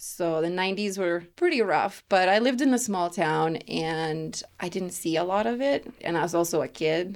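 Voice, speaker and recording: A woman speaks with a Lithuanian accent at a fairly low pitch and a moderate pace. Her pitch varies in an ordinary way, and she hardly pauses. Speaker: women's empowerment coach. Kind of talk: casual interview. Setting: home studio, in person.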